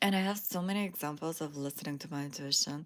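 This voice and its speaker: A woman with a non-native accent, relaxed in tone, at a moderate pace with ordinary pitch variation. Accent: foreign. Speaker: spiritual lifestyle YouTuber. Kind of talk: casual livestream monologue. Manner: relaxed, with frequent fillers.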